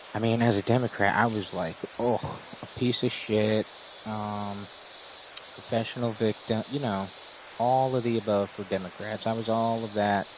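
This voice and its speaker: With an American accent, a man speaks at a moderate pace in a fairly low pitch and a monotone, flat intonation, leaving long, frequent pauses over noticeable background noise. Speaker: live streamer. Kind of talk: casual livestream chat.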